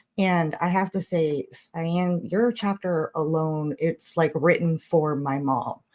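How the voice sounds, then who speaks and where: A woman with a plain, everyday voice talks at a fairly slow pace, her pitch fairly low and her intonation fairly even. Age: 40s. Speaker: caller. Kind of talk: casual chat.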